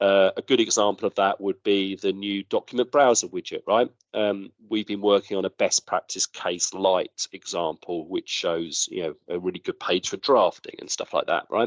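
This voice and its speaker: A man talking with hardly any pauses, in a dry, close sound with no echo. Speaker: software product presenter. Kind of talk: product update presentation. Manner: fast.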